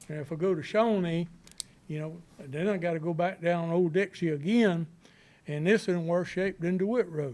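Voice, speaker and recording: With a Southern US accent, a man speaks at a moderate pace in a high pitch with ordinary variation. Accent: Southern US (Georgia). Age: 60s. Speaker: resident speaking at public meeting. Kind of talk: public comment. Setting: county planning board meeting.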